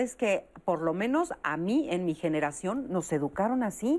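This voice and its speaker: The voice carries a Mexican accent with very wide pitch swings. The background is quiet. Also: woman. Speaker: TV talk show host. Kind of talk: talk show moderation. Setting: studio.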